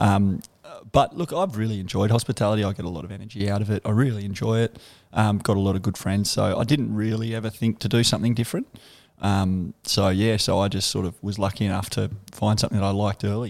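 A fairly low-pitched man with a strong Australian accent at a very fast pace, in a very clean recording over a silent background. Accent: broad Australian. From Canberra, Australia. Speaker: bar owner. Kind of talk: casual interview chat. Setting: in a bar, on location.

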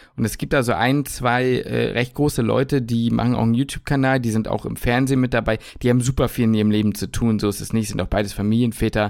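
A man at a medium pitch talks very fast with hardly any pauses, recorded very cleanly against a silent background. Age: 20s. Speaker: podcast host, medical student. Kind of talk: casual chat. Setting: home kitchen.

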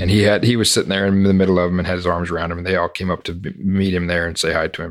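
Very fast speech comes from a man with a very deep, low pitch. His intonation is monotone and flat. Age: 30s. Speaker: horse trainer and podcast host. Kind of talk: casual interview.

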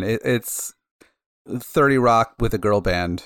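A man speaks at a medium pitch with lively intonation, in an unremarkable speaking voice. The recording is very clean, dry and close, with no echo and a silent background. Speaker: podcast co-host. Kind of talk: casual chat.

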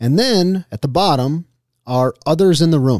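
In an unremarkable speaking voice with an American accent, a man talks at a fairly slow pace with lively intonation, recorded very cleanly against a silent background in a dry, close sound with no echo. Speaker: podcast host, marketer. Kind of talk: casual chat.

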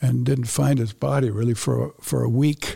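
The voice has a dark, mellow tone, is somewhat breathy, and moves at a moderate pace. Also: man. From United States, raised in Japan. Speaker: retired missionary. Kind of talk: interview.

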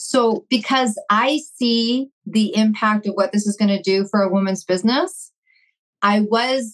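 A plain, everyday voice from a woman, medium in pitch, with fairly even intonation. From Vancouver, Canada. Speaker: entrepreneur. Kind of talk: casual chat.

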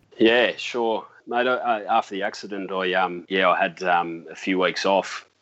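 With an Australian accent, a man speaks at a moderate pace in a fairly low pitch and fairly even intonation. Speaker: seaplane pilot. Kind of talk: interview.

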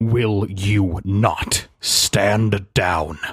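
Booming and fairly low in pitch, a man performs a put-on character voice. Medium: actual play. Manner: cold, menacing, commanding.

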